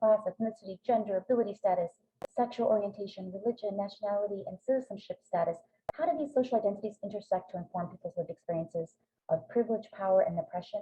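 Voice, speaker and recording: Very fast speech comes through in a somewhat breathy voice. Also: woman. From immigrant to the US from Greece. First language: Greek. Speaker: professor. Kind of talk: webinar lecture. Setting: video call.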